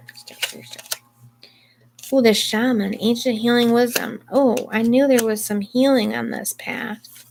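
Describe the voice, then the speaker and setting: A woman with a fairly high voice speaks in a monotone, flat way at a very slow pace, with long, frequent pauses. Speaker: tarot reader. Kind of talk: tarot reading.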